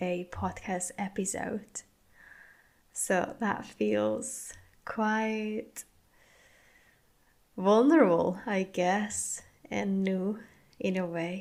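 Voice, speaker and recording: A woman with a Spanish accent talks at a very slow pace, her intonation fairly even. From Spain. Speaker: podcast host and wellbeing coach. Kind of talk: podcast monologue. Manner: deliberately slow, careful pronunciation.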